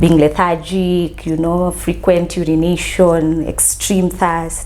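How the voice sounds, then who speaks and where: A woman amid noticeable background noise. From Kenya, Mombasa. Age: 30s. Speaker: counseling psychologist sharing diabetes story. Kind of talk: interview testimony.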